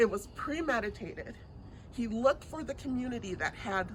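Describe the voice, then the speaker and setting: A somewhat breathy voice with lively intonation moves at a fairly slow pace. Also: woman. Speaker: politician. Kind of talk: campaign speech. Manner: soft-spoken.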